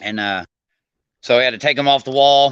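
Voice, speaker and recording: This man has a bright, sharp tone at medium pitch, with an Arkansas accent. His pitch moves in an ordinary way. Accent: Arkansas country drawl. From California. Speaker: co-host, house painter. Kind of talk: casual chat. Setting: video call.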